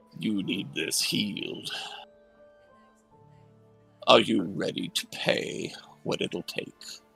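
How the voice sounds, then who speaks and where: A man puts on a raspy character voice and speaks very slowly. Faint music plays in the background. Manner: commanding, ominous.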